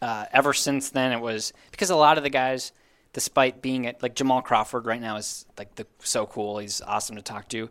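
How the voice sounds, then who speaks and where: This man has a plain, everyday voice at a medium pitch, talking at a fairly quick pace with ordinary pitch variation and big swings in loudness, in a very clean recording with a silent background. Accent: American. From Minnesota. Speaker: sports team digital content manager. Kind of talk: casual interview chat.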